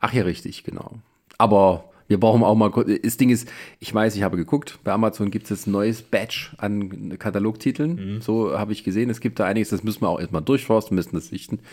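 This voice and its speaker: In a very clean recording with a silent background, a man talks in a normal speaking voice at a fairly low pitch, with ordinary pitch variation and a fairly quick pace. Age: 40s. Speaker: podcast host. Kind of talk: casual film review chat. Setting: in person in the same room.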